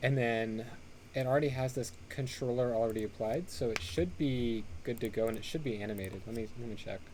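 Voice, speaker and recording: At a fairly quick pace and a medium pitch, a man speaks with audible room echo. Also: ordinary pitch variation. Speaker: pixel art workshop instructor. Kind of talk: tutorial. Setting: live online stream. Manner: fast; casual with many fillers.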